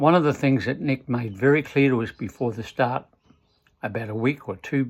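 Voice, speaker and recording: In an Australian accent, a man speaks at a moderate pace and medium pitch with ordinary pitch variation. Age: 70s. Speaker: retired amateur triathlete. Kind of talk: motivational talk. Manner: halting.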